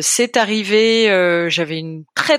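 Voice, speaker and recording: Against a silent background in a very clean recording, a woman with a normal speaking voice talks at a medium pitch. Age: 30s. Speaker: volunteer puppy raiser for guide dogs. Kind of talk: casual interview.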